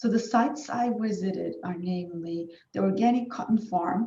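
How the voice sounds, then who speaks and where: A woman in a Turkish accent at a fairly slow pace, with ordinary pitch variation. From Turkey. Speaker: academic researcher. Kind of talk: conference presentation. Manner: hesitant with fillers.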